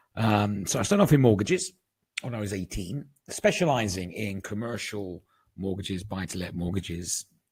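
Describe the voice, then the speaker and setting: A somewhat breathy man talks with a British accent. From England. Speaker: market analyst, trading educator. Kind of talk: webinar presentation. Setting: online webinar.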